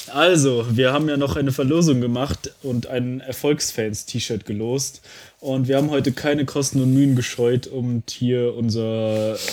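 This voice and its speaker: With an ordinary speaking voice, a man speaks at a fairly slow pace, medium in pitch, his intonation fairly even. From North Rhine-Westphalia, Germany. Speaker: football podcast co-host. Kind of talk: casual chat.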